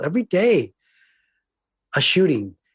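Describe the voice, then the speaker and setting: Somewhat breathy speech with lively intonation and an American accent, dry and close with no echo. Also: man, very clean recording, silent background. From California. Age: 70s. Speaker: diversity trainer and filmmaker. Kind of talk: podcast interview. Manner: earnest.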